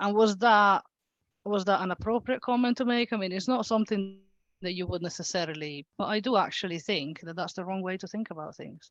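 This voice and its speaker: Against a quiet background with a dry, close sound and no echo, a woman with an Italian accent talks at a fairly quick pace, her loudness swinging widely and her pitch varying in an ordinary way. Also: medium pitch for a woman. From Italy. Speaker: local politician. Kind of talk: panel discussion. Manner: hesitant, many fillers.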